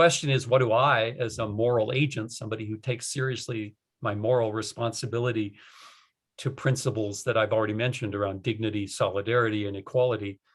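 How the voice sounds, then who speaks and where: Somewhat breathy and very fast, a man with an American accent speaks at medium pitch with fairly even intonation. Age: 60s. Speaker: retired professor. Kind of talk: interview. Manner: emphatic, uses repetition.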